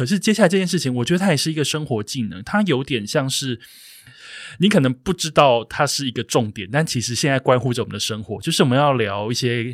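A man with a medium pitch talks very fast with lively intonation. The recording is very clean with a silent background and a dry, close sound with no echo. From southern Taiwan, Kaohsiung. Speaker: podcast host. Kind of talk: casual interview chat. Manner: animated, laughs often.

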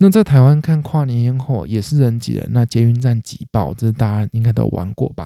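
With lively intonation and hardly any pauses, a man talks at a fairly quick pace and a medium pitch. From Taiwan. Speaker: comedy podcast host. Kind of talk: casual solo monologue.

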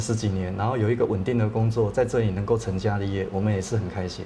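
A man's very fast voice at medium pitch, with music in the background. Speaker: real estate agency owner. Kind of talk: interview. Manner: halting.

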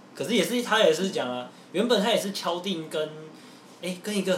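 A man speaks at a fairly quick pace. Noticeable background noise and audible room echo surround him. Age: 20s. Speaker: podcast host. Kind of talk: casual chat.

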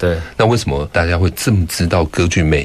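With noticeable background noise behind him, a man with a very deep, low pitch speaks at a fairly quick pace. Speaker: theatre director. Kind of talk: interview. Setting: studio.

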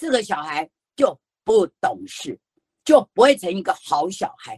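Vocal fry and very wide pitch swings mark this fairly slow delivery, recorded with a dry, close sound and no echo. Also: woman. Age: 60s. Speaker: author and children's storyteller, education association founder. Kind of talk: online book talk. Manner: animated.

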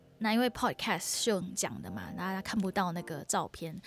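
A woman's medium-pitched voice with vocal fry and lively intonation, on a very clean recording with a silent background. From Singapore. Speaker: podcast host and singer-songwriter. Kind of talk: casual solo podcast, travel talk.

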